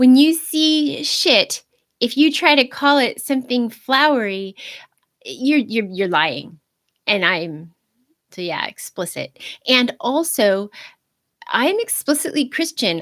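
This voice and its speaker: Her voice high-pitched, a woman speaks at a very slow pace with very wide pitch swings and long, frequent pauses. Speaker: video blogger on Christianity. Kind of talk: unscripted livestream monologue. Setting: live stream. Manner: halting, self-correcting.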